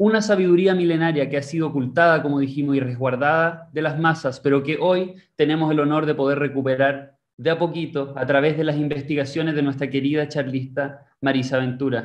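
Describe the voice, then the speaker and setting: An ordinary speaking voice from a man, fairly high in pitch, at a fairly quick pace with hardly any pauses and fairly even intonation, over a quiet background. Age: 20s. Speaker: seminar host. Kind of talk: scripted narration; presentation introduction. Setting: video call. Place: home room. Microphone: video call.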